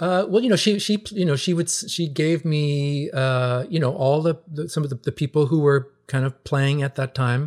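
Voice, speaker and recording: At a moderate pace with hardly any pauses, a man speaks at a fairly high pitch with ordinary pitch variation, on a very clean recording with a silent background and a dry, close sound with no echo. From Newfoundland, Canada. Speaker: folk musician and teacher. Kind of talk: casual interview. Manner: halting, many repeated words and fillers.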